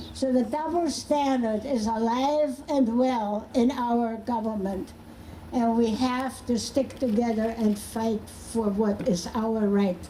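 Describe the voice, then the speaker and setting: Over noticeable background noise, a woman with a fairly high pitch speaks very slowly, with ordinary pitch variation and very even loudness. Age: 80s+. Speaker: activist. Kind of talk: protest rally speech.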